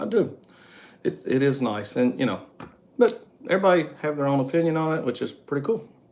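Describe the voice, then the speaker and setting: Here a man talks at a fairly quick pace, leaving long, frequent pauses. His pitch swings very widely. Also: fairly high pitch for a man. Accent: West Virginia. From West Virginia coal fields. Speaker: travel vlogger. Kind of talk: casual chat. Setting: live stream.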